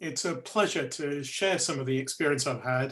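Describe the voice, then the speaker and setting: A man with a northern English accent speaks in a bright, sharp tone at a fairly high pitch, with ordinary pitch variation and a moderate pace. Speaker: electric vehicle expert panelist. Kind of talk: webinar presentation.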